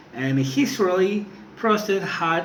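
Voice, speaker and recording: Amid noticeable background noise and audible room echo, a man with a non-native accent speaks with very wide pitch swings. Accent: non-native English, working on pronunciation. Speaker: student. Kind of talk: class speech presentation. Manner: halting, with repetitions.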